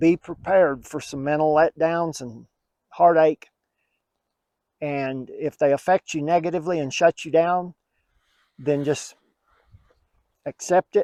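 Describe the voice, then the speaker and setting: A man with a fairly high pitch and a dark, mellow tone speaks at a fairly slow pace, taking long, frequent pauses. His intonation is fairly even, his loudness swings widely, and the sound is dry and close with no echo. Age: 60s. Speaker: bowhunter. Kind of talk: casual chat.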